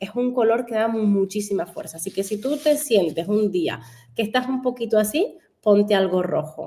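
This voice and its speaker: This woman has a dark, mellow tone at a fairly high pitch, with a Canary Islands accent. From Canary Islands, Spain. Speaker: fashion stylist. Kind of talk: radio interview.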